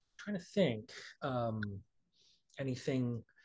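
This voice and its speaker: A man speaks at a moderate pace and medium pitch, somewhat breathy. His intonation is lively, and the background is quiet. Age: 50s. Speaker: writer. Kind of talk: interview.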